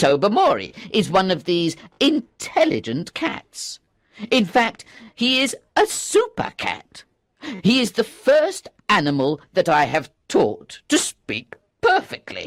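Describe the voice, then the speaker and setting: A put-on character voice delivered at a fairly high pitch. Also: fairly slow pace. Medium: read story. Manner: patient, earnest.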